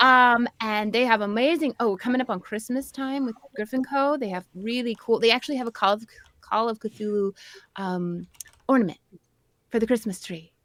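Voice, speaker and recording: At a moderate pace, a woman in a British accent talks at a fairly high pitch with ordinary pitch variation, the sound dry and close with no echo. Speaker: tabletop game streamer. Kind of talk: sponsor reads in casual chat.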